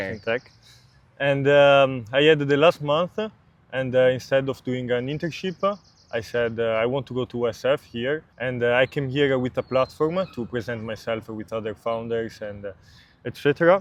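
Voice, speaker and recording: Ordinary pitch variation marks this man's speech in an Italian accent. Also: medium pitch for a man, moderate pace. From Italy. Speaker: startup founder. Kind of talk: interview. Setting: outdoors in a park. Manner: halting.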